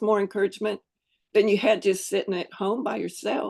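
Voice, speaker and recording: Against a quiet background, a woman's speech moves at a moderate pace. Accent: Southern US. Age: 70s. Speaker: fitness program member sharing her journey. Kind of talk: casual interview.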